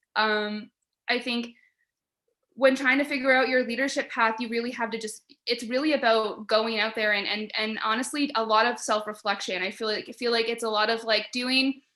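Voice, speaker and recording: A loud woman's voice, fairly high in pitch and bright and sharp in tone, with monotone, flat intonation at a moderate pace against a quiet background. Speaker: panelist. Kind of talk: panel discussion. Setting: video call.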